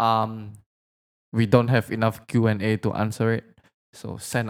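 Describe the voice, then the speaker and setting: A man with a fairly low pitch and an Indonesian accent, at a moderate pace, in a dry, close sound with no echo. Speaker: podcast co-host. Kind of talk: casual chat. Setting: studio.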